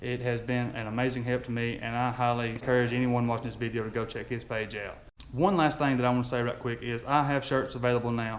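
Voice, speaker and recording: A man at medium pitch, very fast, flat and monotone, with audible room echo. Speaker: YouTuber on drag racing. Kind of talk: casual vlog outro with promotions.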